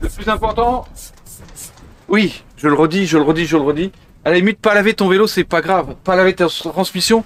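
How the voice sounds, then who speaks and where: With long, frequent pauses, a high-pitched man speaks at a moderate pace and ordinary pitch variation. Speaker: bike cleaning tutorial presenter. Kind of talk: outdoor tutorial demo. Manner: casual, hesitant with fillers.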